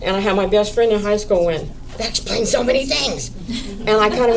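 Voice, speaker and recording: A woman talks at a moderate pace. There is noticeable background noise and audible room echo. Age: 70s. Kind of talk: panel discussion.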